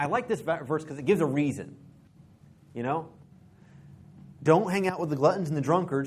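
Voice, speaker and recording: Audible room echo surrounds a man's fairly high voice, which has ordinary pitch variation. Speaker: preacher. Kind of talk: sermon. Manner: halting, self-correcting.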